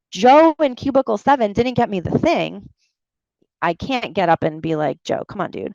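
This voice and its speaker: A woman's fairly high, animated voice with a slight New York accent, vocal fry and very wide pitch swings at a moderate pace, in a dry, close sound with no echo. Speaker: medical writing consultant. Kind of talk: career talk Q&A. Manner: casual, animated.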